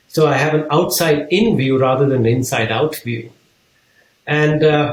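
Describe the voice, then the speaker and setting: Pitched fairly high, a man with an unremarkable speaking voice talks at a moderate pace. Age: 60s. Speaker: business leader and author. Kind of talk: interview.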